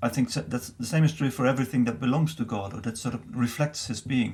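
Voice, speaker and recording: The voice carries vocal fry and lively intonation. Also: man. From Netherlands, Bible Belt. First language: Dutch. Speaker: missiology professor. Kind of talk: interview. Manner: halting.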